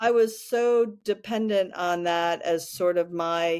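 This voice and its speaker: In a very clean recording with a silent background, the speaker goes at a very slow pace with ordinary pitch variation. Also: woman. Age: 60s. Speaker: podcast co-host. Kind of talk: casual chat.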